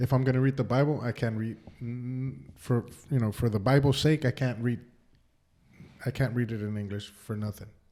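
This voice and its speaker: The speaker has a Spanish accent and a dark, mellow tone. Intonation stays fairly even, broken by long, frequent pauses. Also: man, medium pitch for a man. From Mexico, raised in the US from age six. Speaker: podcast co-host. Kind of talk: casual chat. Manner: halting, stuttering.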